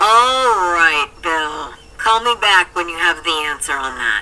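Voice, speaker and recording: Loud and booming, a put-on character voice speaks at a middle pitch and a fairly slow pace. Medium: read story. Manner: brisk, authoritative.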